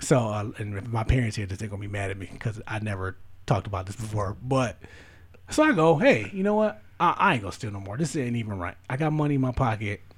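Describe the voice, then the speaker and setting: A man's medium-pitched, somewhat breathy voice at a very fast pace, ordinary pitch variation and big swings in loudness. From US. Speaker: podcast host. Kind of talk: casual chat.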